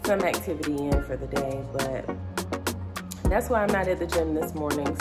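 A woman's voice over loud music in the background. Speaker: vlogger. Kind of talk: casual vlog chat. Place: kitchen. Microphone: phone near.

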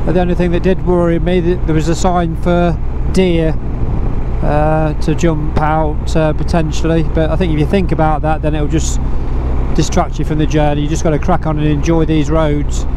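Noticeable background noise surrounds a dry sound with no echo. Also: moderate pace. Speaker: motorcycle travel vlogger. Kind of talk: casual vlog chat. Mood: relaxed and cheerful. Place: motorbike.

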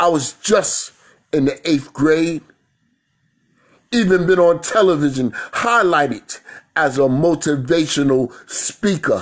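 A man with a New York accent at a fairly high pitch, with ordinary pitch variation, very even loudness, and long, frequent pauses against a quiet background. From New York City. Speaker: spoken word poet. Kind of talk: spoken word performance. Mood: reflective, proud, spiritual. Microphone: phone near.

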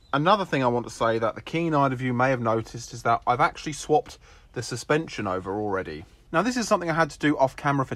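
A man talks at a very fast pace with lively intonation. The sound is dry, with no echo. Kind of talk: casual vlog narration. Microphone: phone near.

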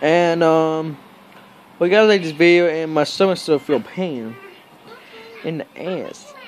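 A man at a fairly slow pace with ordinary pitch variation, music playing in the background. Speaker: vlogger. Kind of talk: casual vlog chat. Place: home room. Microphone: phone near.

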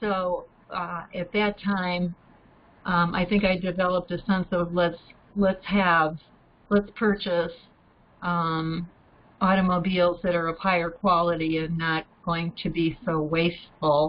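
In an American accent, a woman speaks at a fairly slow pace and a fairly low pitch with monotone, flat intonation and long, frequent pauses. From Ohio. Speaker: retired nurse and program volunteer; guest. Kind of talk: casual discussion. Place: home room. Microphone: webcam.

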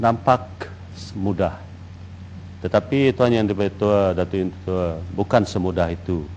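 A man with a very deep, low pitch keeps his intonation fairly even and pauses long and often. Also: fairly slow pace. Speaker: deputy minister. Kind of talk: parliamentary answer. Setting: parliament chamber. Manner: halting.

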